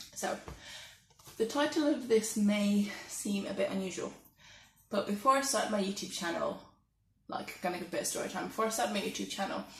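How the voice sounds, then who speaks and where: Audible room echo surrounds a woman of medium pitch who talks at a fairly quick pace broken by long, frequent pauses. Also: ordinary pitch variation. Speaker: vlogger. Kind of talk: casual monologue. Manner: soft-spoken.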